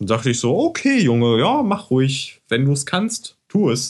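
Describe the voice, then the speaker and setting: This is an unremarkable speaking voice from a man. He talks at a moderate pace with a fairly high pitch. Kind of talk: casual chat. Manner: relaxed, chatty, self-deprecating.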